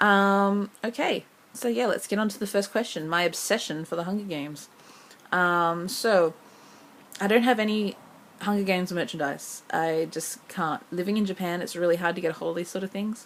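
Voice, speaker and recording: An Australian accent at a moderate pace, with ordinary pitch variation. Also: woman, medium pitch for a woman. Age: 20s. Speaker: vlogger. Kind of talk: audition vlog. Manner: casual, many filler ums.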